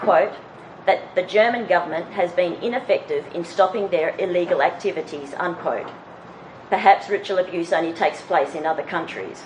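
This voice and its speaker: There is noticeable background noise behind this woman with an Australian accent. She has a medium pitch and a moderate pace. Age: 40s. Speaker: conference speaker, abuse survivor. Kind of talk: conference presentation. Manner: reading prepared text.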